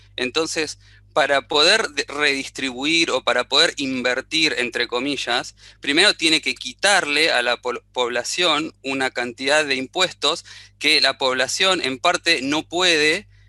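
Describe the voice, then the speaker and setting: A man with an Argentine accent speaks at a fairly slow pace and a fairly high pitch, with ordinary pitch variation. His tone is bright and sharp, the sound dry and close with no echo. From Argentina. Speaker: audience participant in webinar. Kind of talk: question in online panel discussion. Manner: halting, many fillers and restarts.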